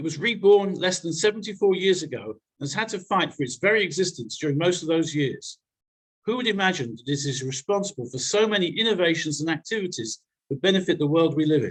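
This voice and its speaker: In a British accent, a man talks very fast in a high-pitched voice with lively intonation. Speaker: newsletter editor, speaker. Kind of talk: presentation to a congregation.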